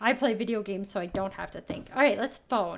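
A woman with a Canadian accent speaks with lively intonation over light background noise. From Canada. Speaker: gaming youtuber; gaming streamer. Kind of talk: let's play commentary. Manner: animated. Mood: playful, amused. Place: home room.

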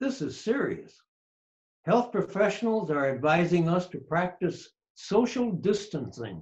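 This man has a high voice for a man and talks at a fairly slow pace. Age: 80s+. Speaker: elderly father. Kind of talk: reading his own story aloud. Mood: calm, reflective. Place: home room. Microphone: video call.

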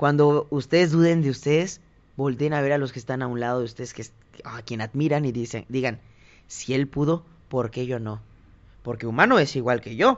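A man with a plain, everyday voice, medium pitch, ordinary pitch variation and big swings in loudness. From Mexico, Tonalá, Jalisco. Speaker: singer. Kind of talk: interview conversation.

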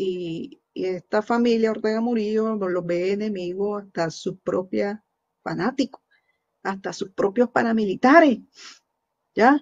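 A woman at a fairly slow pace with ordinary pitch variation, over a quiet background. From Nicaragua. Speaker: news show host. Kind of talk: opinion commentary. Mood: earnest, critical. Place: home room. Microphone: webcam.

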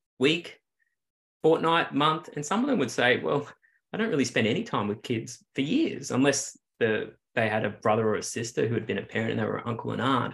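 With an Australian accent, a man talks at a very fast pace in a fairly high pitch, his intonation lively. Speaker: clinical psychologist, researcher; interviewee. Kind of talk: interview. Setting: video call. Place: home room. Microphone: video call.

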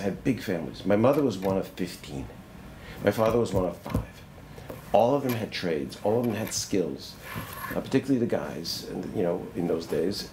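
Noticeable background noise sits behind a man with a fairly low pitch. He speaks at a moderate pace, and his pitch swings very widely. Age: 70s. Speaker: retired retail merchant and professor. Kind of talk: oral history interview. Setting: on campus. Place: home room.

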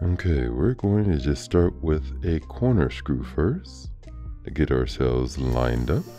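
A man's very deep, low voice at a fairly slow pace, with ordinary pitch variation and music in the background. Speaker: Bitcoin mining technician presenter. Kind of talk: technical tutorial narration.

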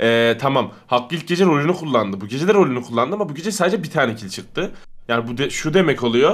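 Against a quiet background, a man speaks at a very fast pace with very wide pitch swings. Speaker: online game player. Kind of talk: casual chat. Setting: video call. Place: home room.

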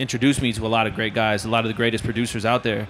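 Light background noise sits behind a speaker with an American accent and a monotone, flat intonation. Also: man. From Florida. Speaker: mixing engineer. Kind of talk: casual interview. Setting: music trade show. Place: hall. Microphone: handheld.

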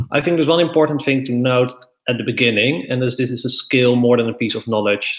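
A man speaks very fast at a medium pitch, with a Dutch accent. His pitch varies in an ordinary way over a quiet background. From Netherlands. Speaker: debate coach; debate workshop trainer. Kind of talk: lecture. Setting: live stream. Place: home room. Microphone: webcam.

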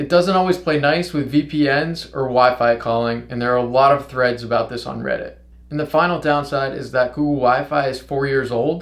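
Hardly pausing at all, a man talks at a moderate pace with fairly even intonation. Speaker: tech reviewer. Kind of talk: product review commentary. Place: home room.

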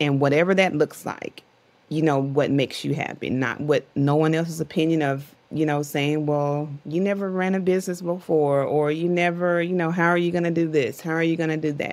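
A woman's very deep, low voice at a fairly quick pace with fairly even intonation. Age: 40s. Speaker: entrepreneur and author; podcast guest. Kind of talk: interview conversation. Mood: reflective, determined.

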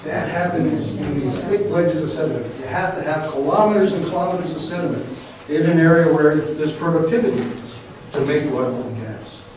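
A man talks at a fairly quick pace in a fairly high voice, with noticeable background noise and strong room echo. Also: ordinary pitch variation. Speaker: professor and marine geophysicist. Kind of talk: lecture. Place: classroom. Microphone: camera far.

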